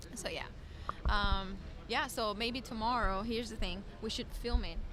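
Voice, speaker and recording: A woman with a Brazilian accent at a moderate pace, fairly high pitch and fairly even intonation, with audible room echo and noticeable background noise. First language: Portuguese. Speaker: sports photographer. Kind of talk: casual chat.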